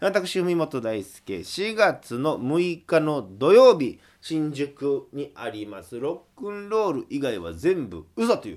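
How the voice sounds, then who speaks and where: Very wide pitch swings and big swings in loudness at a very slow pace, with hardly any pauses, in a very clean recording with a silent background. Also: man, fairly high pitch for a man. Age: 20s. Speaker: folk singer-songwriter hosting a radio show. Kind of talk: solo radio talk.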